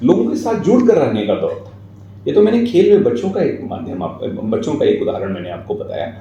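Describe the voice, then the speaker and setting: Audible room echo and noticeable background noise both surround this man as he talks. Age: 40s. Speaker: writer and guest speaker. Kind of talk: interview, reflective talk. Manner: formal.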